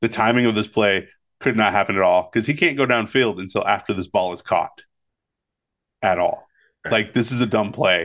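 A man with a fairly low pitch speaks at a fairly quick pace but takes long, frequent pauses. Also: ordinary pitch variation, quiet background. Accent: American. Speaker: podcast co-host. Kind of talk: casual chat.

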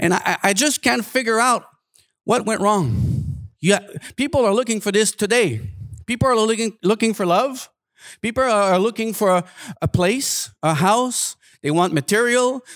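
A man's high-pitched voice with a French Canadian accent, lively intonation, very even loudness and a moderate pace on a very clean recording with a silent background. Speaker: guest preacher. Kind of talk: sermon. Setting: church. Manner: halting.

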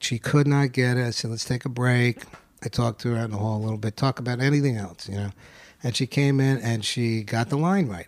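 With a New York accent, a man speaks at a moderate pace in a medium pitch. The recording is very clean, with a silent background. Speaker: actor. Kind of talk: casual chat.

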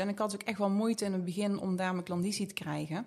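Her pace is very fast. A woman talks at a medium pitch with fairly even intonation. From Geldrop, North Brabant, Netherlands. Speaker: beauty salon owner. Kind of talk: casual interview chat.

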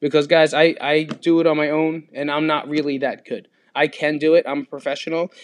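At a fairly quick pace, a man speaks in a monotone with flat intonation. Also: fairly high pitch for a man. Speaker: fitness podcast host. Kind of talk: solo podcast monologue. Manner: casual, rambling with repetitions.

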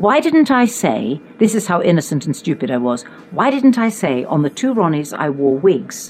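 Very wide pitch swings mark this moderately paced voice, heard over noticeable background noise. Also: woman, fairly low pitch for a woman. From England, Richmond upon Thames. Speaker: actress. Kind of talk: anecdotal storytelling in conversation.

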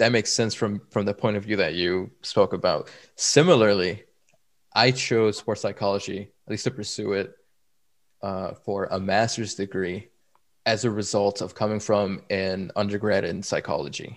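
Recorded very cleanly against a silent background, a man with an American accent uses an ordinary speaking voice at a fairly low pitch and a moderate pace. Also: fairly even intonation. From Chicago. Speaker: performance consultant and podcast co-host. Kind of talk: casual chat.

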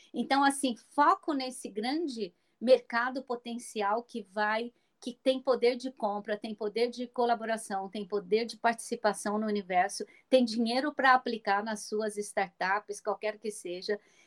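Recorded with a dry, close sound with no echo, a woman with an ordinary speaking voice talks at a fairly slow pace and fairly high pitch, showing ordinary pitch variation and big swings in loudness. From Brazil, rural Minas Gerais. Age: 60s. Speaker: blogger and speaker on aging. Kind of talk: interview.

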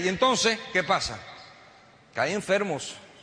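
A man's raised, projected voice with an animated tone, plus audible room echo and noticeable background noise. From United States, Cuban family. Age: 50s. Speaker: network marketing entrepreneur, motivational speaker. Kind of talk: motivational speech. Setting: stage with audience.

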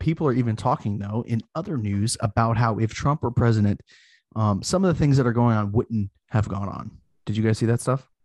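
Over a quiet background, a man with an ordinary speaking voice and medium pitch talks with ordinary pitch variation, the sound dry and close with no echo. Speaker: podcast host. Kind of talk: casual chat. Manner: articulate, wide vocabulary.

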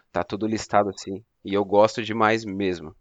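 A man with a plain, everyday voice and a fairly low pitch speaks at a moderate pace. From São Paulo city, Brazil. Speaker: fraud prevention analyst, anime fan. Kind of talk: casual chat.

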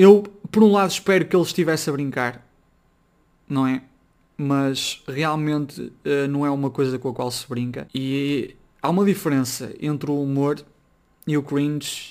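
Delivered at a moderate pace with ordinary pitch variation, the speech has long, frequent pauses. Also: man. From northern Portugal, Braga. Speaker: podcaster. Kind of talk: casual solo commentary.

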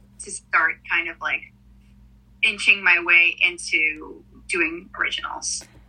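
Noticeable background noise runs behind a woman speaking at a very slow pace. Her loudness swings widely, and she leaves long, frequent pauses. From Israel. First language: Russian. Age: 20s. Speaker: singer-songwriter. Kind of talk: casual interview. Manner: hesitant, many fillers.

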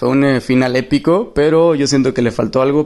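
This man has an ordinary speaking voice, fairly high in pitch, moving at a fairly quick pace with fairly even intonation. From Mexico, Monterrey. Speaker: listener calling in. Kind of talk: casual chat.

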